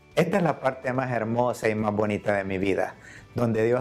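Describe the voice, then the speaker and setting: A man talks at a medium pitch. Behind his voice, music is playing. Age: 60s. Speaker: church member giving testimony. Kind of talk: testimony.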